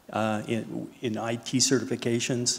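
A man talks in a monotone with flat intonation. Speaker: panelist. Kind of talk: panel introduction talk. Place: stage. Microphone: handheld.

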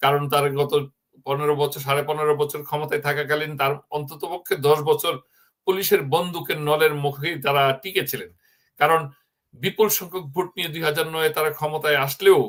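The clip has an unremarkable speaking voice. Its pitch contour is fairly even. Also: man, fairly high pitch for a man. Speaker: political commentator. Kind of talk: news commentary.

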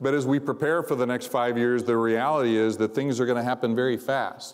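Flat, monotone intonation from a man at a fairly quick pace. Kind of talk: convocation speech. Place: hall. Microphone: lapel.

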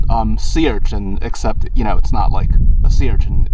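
Spoken at a moderate pace, the clip sounds dry with no echo, though noticeable background noise is present. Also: man. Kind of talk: casual vlog chat. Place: open country. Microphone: phone near.

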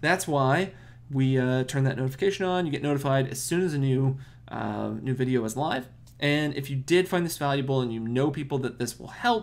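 Pitch moves in an ordinary way. The speaker goes at a fairly quick pace. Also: man. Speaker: marketing channel host. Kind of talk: tutorial outro. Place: home room. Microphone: webcam.

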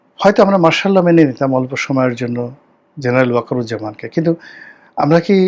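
Intonation lively, a man speaks at a medium pitch. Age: 50s. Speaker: political commentator and politician. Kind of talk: political commentary monologue. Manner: emphatic, rhetorical.

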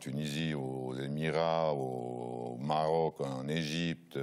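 This man's voice sits very deep and low in pitch. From Switzerland, Neuchâtel; Switzerland. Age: 60s. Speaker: football coach. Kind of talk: TV interview. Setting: studio. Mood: relaxed, reminiscing. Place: studio. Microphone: lapel.

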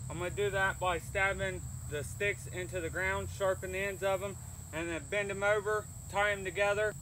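A man speaks at a moderate pace, the sound dry with no echo and light background noise behind him. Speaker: bushcraft vlogger. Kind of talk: casual vlog chat. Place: waterside.

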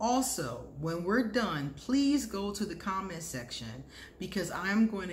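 Fairly slow speech with very wide pitch swings over light background noise. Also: woman. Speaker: vlogger, astrology reader. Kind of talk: casual vlog chat. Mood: cheerful, warm. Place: home room. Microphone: phone near.

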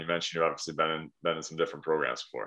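The background stays quiet. A man talks at a very deep, low pitch. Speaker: fitness coach. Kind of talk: interview questions to client. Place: home room. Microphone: video call.

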